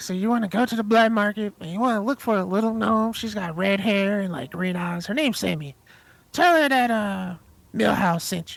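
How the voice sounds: A put-on character voice at a fairly high pitch and fairly quick pace, on a very clean recording with a silent background.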